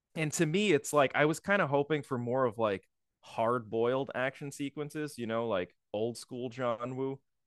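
This is a normal speaking voice with ordinary pitch variation. The pace is moderate and the sound is dry and close with no echo. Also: man, medium pitch for a man. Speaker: podcast co-host. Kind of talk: casual chat.

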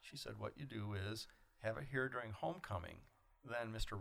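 Lively in intonation and with some vocal fry, a man with an American accent speaks at medium pitch and a fairly quick pace. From mid Michigan, US. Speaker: retired airline pilot and author, cartoonist. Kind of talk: interview, casual chat. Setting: studio with small audience.

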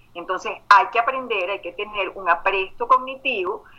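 A woman talks in an ordinary speaking voice. Her medium pitch shows ordinary variation. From Venezuela. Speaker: life and emotional intelligence coach. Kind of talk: interview.

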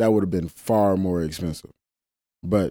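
The voice has a dark, mellow tone and fairly even intonation at a fairly quick pace. The recording is very clean, with a silent background and a dry, close sound with no echo. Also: man. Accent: Mississippi. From Mississippi Delta. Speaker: climbing coach and route setter. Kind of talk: casual interview.

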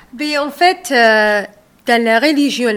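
Her voice fairly high-pitched, a woman speaks with an Arabic accent and lively intonation. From Saudi Arabia, Somali family. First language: Arabic (speaking French). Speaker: author and restaurant owner. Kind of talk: radio interview. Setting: on location by the canal.

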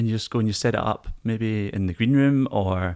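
Speaking at a fairly quick pace, a man has a fairly low pitch. The recording is very clean, with a silent background. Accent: Scottish. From Scotland. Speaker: lighting designer. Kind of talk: casual chat.

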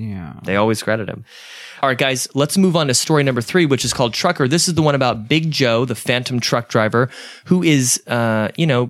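In a very clean recording with a silent background, a man with an American accent has an unremarkable speaking voice, medium pitch and lively intonation. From US South, Georgia. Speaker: podcast host. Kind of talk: casual chat.

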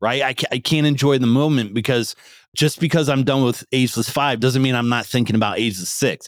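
An unremarkable speaking voice belongs to a man with an American accent, medium in pitch with ordinary pitch variation, in a dry, close sound with no echo on a very clean recording with a silent background. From rural Pennsylvania. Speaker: strength and conditioning coach. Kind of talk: interview conversation.

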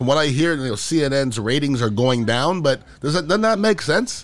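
A man's pitch swings very widely as he speaks fairly quickly. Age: 50s. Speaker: podcast host. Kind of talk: casual political commentary monologue.

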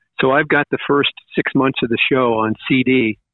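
Here a man talks at a moderate pace in a normal speaking voice. His pitch sits in the medium range, and his intonation is fairly even. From Long Island, New York. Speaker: radio DJ. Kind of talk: casual interview chat.

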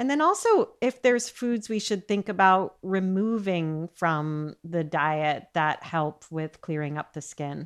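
A woman with a normal speaking voice and a fairly low pitch talks at a fairly slow pace with lively intonation and hardly any pauses, against a quiet background. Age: 50s. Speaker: podcast host, nutritionist. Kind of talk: interview.

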